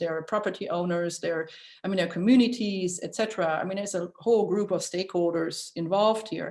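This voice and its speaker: A medium-pitched woman with a German accent, ordinary pitch variation and a fairly quick pace. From Germany. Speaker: architecture school dean. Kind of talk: interview. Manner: hesitant, many fillers.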